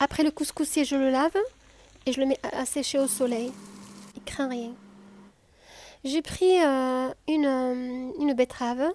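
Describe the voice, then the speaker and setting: A high-pitched woman with a southern French accent, a relaxed, gentle tone and fairly even intonation, fairly slow with long, frequent pauses, in a dry, close sound with no echo. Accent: southern French (Midi). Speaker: cooking video host. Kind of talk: cooking tutorial. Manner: hesitant, with fillers and repetitions.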